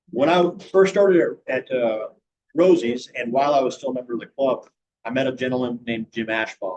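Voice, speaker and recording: With an American accent, a man speaks at medium pitch with lively intonation. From Virginia mountains. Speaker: restaurant owner, club member. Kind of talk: personal life story talk to a club. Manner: halting with many fillers.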